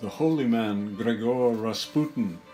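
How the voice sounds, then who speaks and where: A man with an American accent, music in the background. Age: 80s+. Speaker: artist, painter. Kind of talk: political commentary narration.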